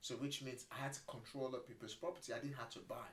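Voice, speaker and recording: Somewhat breathy speech comes at a very fast pace. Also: man. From Nigeria. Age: 40s. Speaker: property entrepreneur. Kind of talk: podcast interview.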